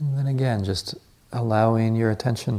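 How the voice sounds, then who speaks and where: Fairly even intonation from a man speaking at a moderate pace. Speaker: meditation teacher. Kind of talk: guided meditation; dharma talk. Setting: meditation retreat hall, live group. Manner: soft-spoken, reflective, with hesitant fillers.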